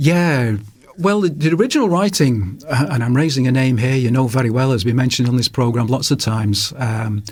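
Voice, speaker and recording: Talking at a fairly quick pace in a strong Manchester accent, a man with a medium pitch uses lively intonation and very even loudness. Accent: Manchester accent, kept strong. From northern England, Salford, Manchester. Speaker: author. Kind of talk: radio interview. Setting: radio studio.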